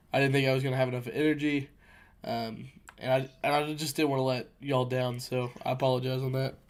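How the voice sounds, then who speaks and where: A man speaks at a very fast pace and a medium pitch. His intonation is monotone and flat. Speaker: podcast host. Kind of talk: casual chat.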